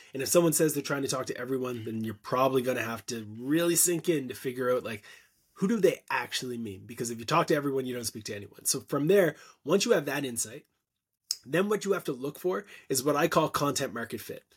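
A man with a Canadian accent talks at a very fast pace in a medium pitch, with lively intonation and big swings in loudness. The recording is very clean, with a silent background. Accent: Canadian, noticeable 'about' vowels. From Canada. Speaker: content marketing expert and agency founder. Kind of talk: casual interview conversation.

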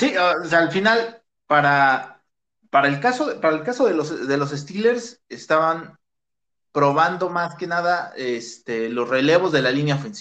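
A high-pitched man with a Mexican accent, a bright, sharp tone, lively intonation and a fairly slow pace. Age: 30s. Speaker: sports podcast host. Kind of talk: casual chat.

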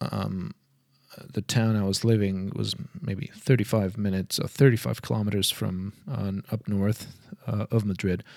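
A man's fairly low voice at a fairly slow pace. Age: 40s. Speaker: podcaster. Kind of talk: personal monologue. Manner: halting.

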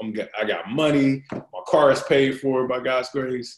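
At a moderate pace, a man with an American accent talks in a plain, everyday voice of medium pitch. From US South, Fayetteville, North Carolina. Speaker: pastor. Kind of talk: casual interview.

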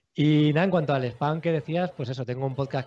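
Words tumble out very rapidly, the pitch rising and falling in an ordinary way. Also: man. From Spain, Alicante city. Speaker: podcaster. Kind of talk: casual chat. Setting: live stream.

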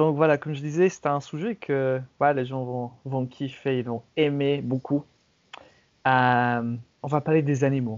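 A man's fairly high pitch at a fairly slow pace, with fairly even intonation and long, frequent pauses. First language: English (speaking French). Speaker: podcast host. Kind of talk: casual chat. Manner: halting.

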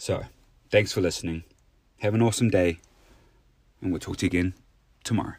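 A man with a New Zealand accent speaks at a very fast pace with a very deep, low pitch. His intonation is fairly even, broken by long, frequent pauses. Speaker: podcast host. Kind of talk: solo motivational monologue.

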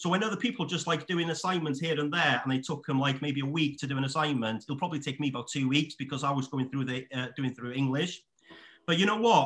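Very fast in pace, a man with a Welsh accent talks in a fairly high pitch with ordinary pitch variation. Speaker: estate agent. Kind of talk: casual chat.

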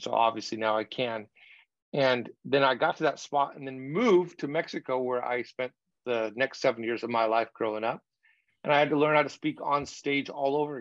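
A man's ordinary speaking voice at medium pitch, with ordinary pitch variation, a dry, close sound with no echo, and a quiet background. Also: fairly quick pace. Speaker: communication coach and author. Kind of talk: interview conversation.

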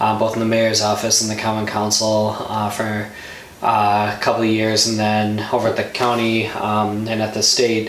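With an American accent, a man speaks in a monotone, flat intonation at a fairly low pitch and a moderate pace over noticeable background noise. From Milwaukee, Wisconsin. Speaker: state politician. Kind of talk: interview conversation.

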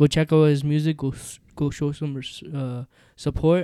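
Dry and close with no echo, the voice has a dark, mellow tone and monotone, flat intonation. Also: man. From India. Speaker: podcast host. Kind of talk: casual chat.

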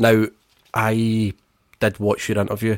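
In a very clean recording with a silent background, a man speaks at a moderate pace in a playful tone, with a dry, close sound and no echo. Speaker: football podcast host. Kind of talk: casual chat. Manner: joking, playful.

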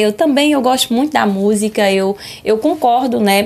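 At medium pitch and a moderate pace, a woman talks in a normal speaking voice. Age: 30s. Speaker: schoolteacher. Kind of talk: lecture.

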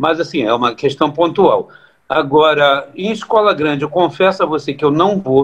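A man's ordinary speaking voice, fairly high in pitch with ordinary pitch variation, at a moderate pace. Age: 50s. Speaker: samba composer. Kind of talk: casual chat.

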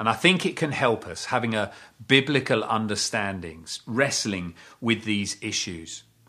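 At a moderate pace, a man with a medium pitch and a bright, sharp tone speaks with lively intonation on a very clean recording with a silent background. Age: 50s. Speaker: pastor. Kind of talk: sermon.

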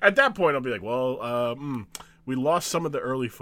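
The text is read out in a natural voice, the intonation rising and falling in a lively way.

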